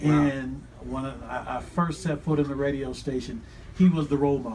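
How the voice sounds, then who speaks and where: A man speaks with an American accent in a normal speaking voice, his pitch fairly high. His pace is moderate and his pitch variation ordinary. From Pennsylvania. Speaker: radio broadcaster, radio voice of a university's sports teams. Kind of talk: interview answer, personal career story.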